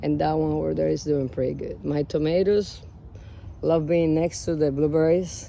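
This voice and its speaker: The speaker talks at a moderate pace with a strong Cuban accent. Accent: Cuban Spanish accent, heavy. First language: Spanish. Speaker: home gardener vlogger. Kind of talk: casual garden walk-through vlog. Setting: outdoors in garden. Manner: casual, halting with fillers.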